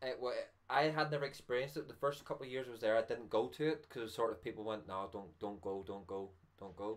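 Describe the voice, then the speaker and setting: With a Northern Irish accent, a man speaks very fast at a medium pitch with lively intonation. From Northern Ireland. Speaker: vaping channel host. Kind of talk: casual chat. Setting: live stream.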